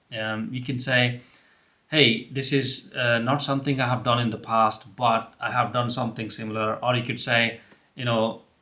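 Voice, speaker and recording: This man has an Indian accent and a bright, sharp tone at a medium pitch. His intonation is monotone and flat, and his pace is moderate. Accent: Indian English (Telugu). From India, Telugu-speaking region. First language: Telugu. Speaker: career advice YouTuber. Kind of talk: advice talk to camera. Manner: casual with many fillers.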